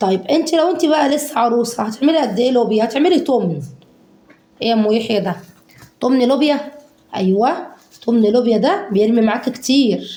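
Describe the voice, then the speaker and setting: A woman with an Egyptian accent talks in a high, animated voice with lively intonation at a moderate pace. Audible echo fills the room. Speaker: home cooking vlogger. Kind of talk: casual cooking tutorial.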